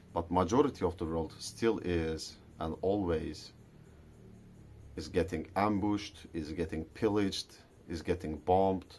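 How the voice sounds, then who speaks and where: The speaker is a man with a non-native accent. His pitch is very deep and low, and his intonation stays fairly even. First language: not English. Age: adult. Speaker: vlogger. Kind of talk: casual monologue vlog. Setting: garage at night.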